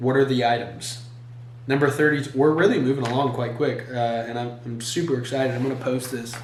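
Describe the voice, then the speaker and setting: A man talks at a medium pitch with flat, monotone intonation. Noticeable background noise and audible room echo run through the clip. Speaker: solo YouTuber. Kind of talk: casual monologue reading questions. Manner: halting with fillers.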